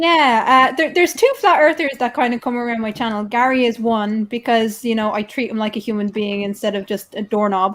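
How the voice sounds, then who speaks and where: This woman has a Dublin accent and a fairly high pitch with ordinary pitch variation. She talks at a fairly quick pace with hardly any pauses. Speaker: YouTube channel host. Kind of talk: casual chat.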